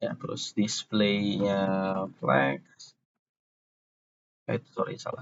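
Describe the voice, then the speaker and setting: Soft-spoken, a man talks at a very slow pace with long, frequent pauses. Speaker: programming tutor. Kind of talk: tutorial. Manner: halting.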